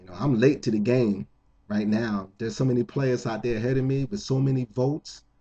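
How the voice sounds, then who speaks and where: Speaking at a moderate pace with an American accent, a man has a somewhat breathy, dark, mellow tone at medium pitch with ordinary pitch variation. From New Jersey, Jersey City. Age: 50s. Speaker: contest entrant. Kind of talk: appeal to viewers.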